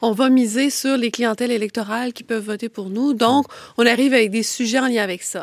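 A woman's fairly high-pitched voice, a plain, everyday voice, with fairly even intonation, big swings in loudness and a dry, close sound with no echo. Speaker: political commentator. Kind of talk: panel discussion.

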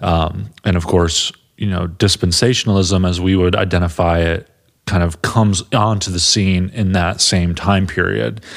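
This man's pitch is very deep and low, with ordinary variation. He talks at a moderate pace. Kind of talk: casual discussion podcast.

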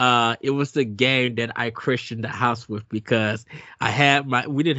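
A man speaks at a medium pitch and moderate pace in an unremarkable speaking voice. His intonation is fairly even. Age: 40s. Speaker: podcast host. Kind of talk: casual chat.

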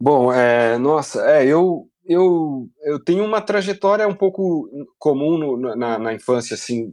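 A man talks very slowly with hardly any pauses. His fairly high pitch carries lively intonation. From Brazil, Piracicaba (São Paulo state). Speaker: illustrator, game artist. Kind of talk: casual interview. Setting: remote call from home.

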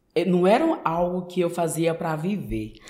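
Noticeable background noise fills the recording. A man talks with a high pitch. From Brazil, Maranhão (São Luís), Northeast. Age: 20s. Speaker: manicurist. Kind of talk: casual interview.

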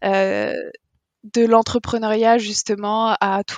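The voice holds a monotone, flat intonation, with a dry, close sound and no echo. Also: woman. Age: 20s. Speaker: restaurant owner. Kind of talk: interview.

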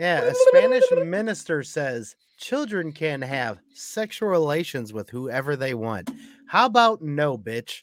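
His pitch swings very widely. The man's voice is fairly high. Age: 40s. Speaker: podcast co-host. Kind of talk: casual chat. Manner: animated.

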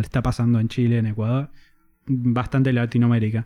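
Against a quiet background, a man with an ordinary speaking voice talks at a moderate pace and a medium pitch. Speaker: guest content creator. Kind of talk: casual chat.

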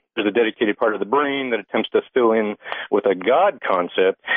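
A man in an ordinary speaking voice, with lively intonation and a fairly quick pace. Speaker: caller. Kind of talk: call-in conversation. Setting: phone call.

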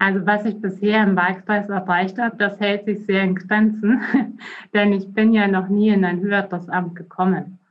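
This woman talks at a moderate pace in a medium pitch, her voice somewhat breathy and her intonation flat and monotone. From Bavaria, Germany. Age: 30s. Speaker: politician, election candidate. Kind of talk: interview.

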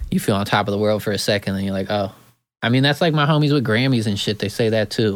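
Very fast speech comes from a man with an American accent and a fairly low pitch. The recording is very clean, with a silent background. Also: ordinary pitch variation. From Oregon, US. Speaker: hip-hop producer. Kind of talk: casual chat.

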